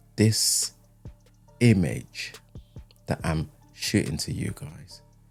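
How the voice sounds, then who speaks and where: Music plays behind a man whose fairly low voice carries lively intonation. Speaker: YouTube creator. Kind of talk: talking-head video essay. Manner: slow.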